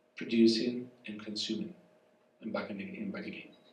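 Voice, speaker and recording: There is audible room echo and noticeable background noise. Through it, a man speaks at medium pitch. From southern Spain, rural. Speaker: professor. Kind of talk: public conversation. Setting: cafe event with audience.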